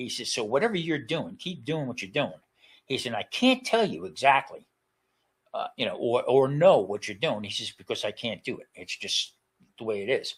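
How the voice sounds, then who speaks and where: At a moderate pace, a man talks with a New Jersey accent. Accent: New Jersey American. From New Jersey, US. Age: 70s. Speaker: retired chef, cancer survivor. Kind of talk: interview testimony. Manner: halting, many repetitions and fillers.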